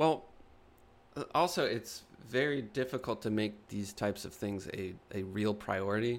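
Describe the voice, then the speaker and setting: This is a normal speaking voice from a man at a fairly low pitch. He goes at a fairly slow pace, with ordinary pitch variation. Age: 30s. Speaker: podcast co-host and artist. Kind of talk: casual chat.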